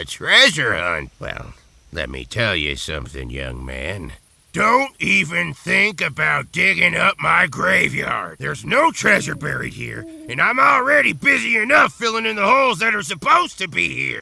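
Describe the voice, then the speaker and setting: This put-on character voice is raspy and moves at a moderate pace. Its loudness swings widely. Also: man. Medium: video game. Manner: gruff, folksy, grumbling.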